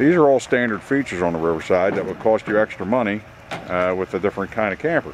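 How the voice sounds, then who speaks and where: A man speaks at a moderate pace with ordinary pitch variation, the sound dry with no echo and light background noise behind him. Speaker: camper salesman. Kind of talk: sales walkaround commentary. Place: street. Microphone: phone near.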